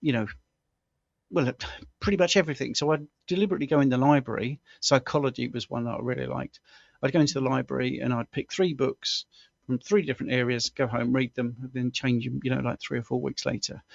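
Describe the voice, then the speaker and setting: This man speaks at a very fast pace in a southern English accent. His pitch is medium, with ordinary variation. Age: 60s. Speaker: health coach and former stuntman. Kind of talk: interview. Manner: halting.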